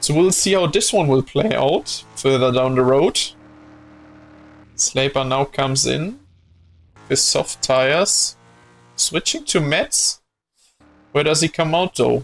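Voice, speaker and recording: Over music in the background, a man speaks very slowly with long, frequent pauses, ordinary pitch variation and very even loudness. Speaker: streamer commentating a sim racing event. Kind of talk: live commentary. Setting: live stream. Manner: animated.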